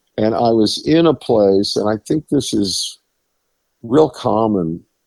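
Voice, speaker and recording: With a New England accent, a man speaks very slowly at a medium pitch with lively intonation, in a very clean, dry, close recording with a silent background and no echo. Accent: New England American. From Rhode Island, US. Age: 70s. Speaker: singer-songwriter. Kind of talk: interview. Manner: halting.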